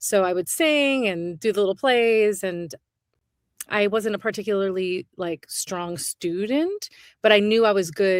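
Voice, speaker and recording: A woman with a plain, everyday voice and an American accent speaks at a fairly slow pace and medium pitch, with ordinary pitch variation, in a dry, close sound with no echo. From New York, Brooklyn. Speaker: stage actor. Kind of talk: casual chat.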